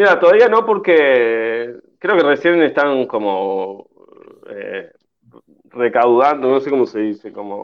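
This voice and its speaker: The speech moves at a very slow pace. Its pitch swings very widely. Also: man, medium pitch for a man, big swings in loudness. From Uruguay. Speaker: actor. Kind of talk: radio interview. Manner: halting, many repetitions and fillers.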